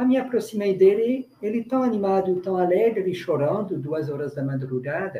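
A man with a high voice speaks at a moderate pace, his intonation lively and his delivery almost free of pauses. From France, rural. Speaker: religious brother, community worker. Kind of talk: panel discussion testimony.

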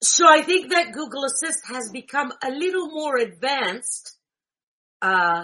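This woman talks at a very slow pace. Her tone is bright and sharp, with lively intonation. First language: Greek. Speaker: tech tutorial host for blind users. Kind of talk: tutorial. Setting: screen-shared video call. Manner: casual, hesitant with fillers.

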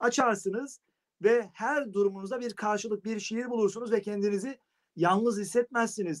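Dry and close with no echo, the sound carries fairly even intonation. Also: man, high pitch for a man, moderate pace. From Turkey, Sakarya (Geyve). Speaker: poet and literature teacher. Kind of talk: casual interview. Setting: video call from home.

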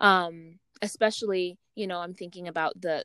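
A woman with fairly low pitch speaks in an unremarkable speaking voice. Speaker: podcast host. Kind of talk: casual interview chat.

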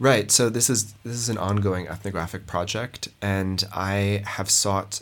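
In an American accent, an unremarkable speaking voice moves at a fairly slow pace with fairly even intonation on a very clean recording with a silent background. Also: man. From Montana, US. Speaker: anthropologist. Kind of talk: research interview.

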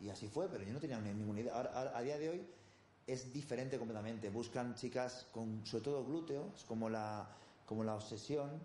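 Audible room echo surrounds a man speaking at a fairly quick pace and medium pitch with ordinary pitch variation. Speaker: bodybuilding coach. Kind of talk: interview.

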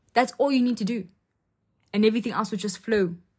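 A woman speaks with a fairly high pitch. Her tone is dark and mellow, and somewhat breathy. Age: young (about 19). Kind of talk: faith talk monologue. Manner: casual, filler-heavy speech.

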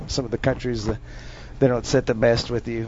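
In an Upper Midwest accent, a man talks at a medium pitch with monotone, flat intonation. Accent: Upper Midwest American. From North Dakota, rural. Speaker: special forces soldier. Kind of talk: casual chat.

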